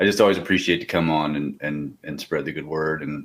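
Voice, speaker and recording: The man talks at a very fast pace. He has an American accent. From central Pennsylvania. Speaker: strength and conditioning coach. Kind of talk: casual chat.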